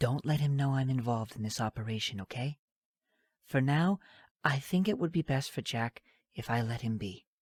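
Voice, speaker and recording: In a put-on character voice, a man of medium pitch speaks soft-spoken and strained with a calm tone at a moderate pace, leaving long, frequent pauses, on a very clean recording with a silent background. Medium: read story. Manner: soft, strained calm.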